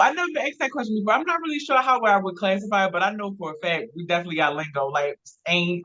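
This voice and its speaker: With a Baltimore accent, a woman speaks at a very fast pace with hardly any pauses, her medium pitch moving in very wide swings. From Baltimore, Maryland. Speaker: blogger and filmmaker. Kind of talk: casual interview.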